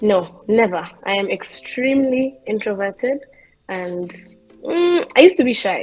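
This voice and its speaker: With music playing behind her, a woman talks in a lively, varied intonation. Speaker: content creator and comedian. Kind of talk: interview. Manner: soft-spoken.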